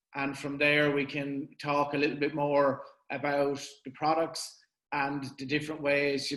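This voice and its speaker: The speaker is a man whose pitch is fairly high. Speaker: company representative. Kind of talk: webinar presentation.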